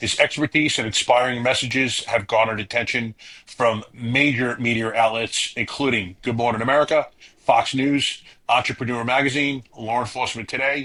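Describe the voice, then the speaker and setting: A man speaks with a northern US accent. His tone is bright and sharp, his intonation fairly even. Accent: northern US (Yankee). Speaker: podcast host. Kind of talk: reading a prepared guest introduction; podcast interview.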